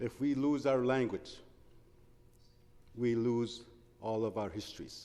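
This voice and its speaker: A man with a medium-pitched, dark and mellow voice speaks at a fairly slow pace with ordinary pitch variation and long, frequent pauses. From northern Ontario First Nation (Big Trout Lake). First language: Anishininiimowin (Oji-Cree). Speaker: politician. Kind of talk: parliamentary speech. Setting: legislative chamber. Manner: measured, formal.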